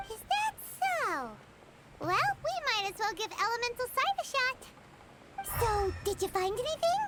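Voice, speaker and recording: An extremely high, energetic put-on character voice moves at a moderate pace with long, frequent pauses. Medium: video game. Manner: energetic, inquisitive.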